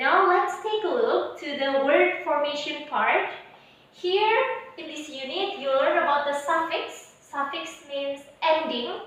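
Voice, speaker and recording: Speaking very slowly in an Indonesian accent, a woman uses a high pitch with lively intonation and big swings in loudness, amid audible room echo and noticeable background noise. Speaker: English teacher. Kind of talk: online lesson.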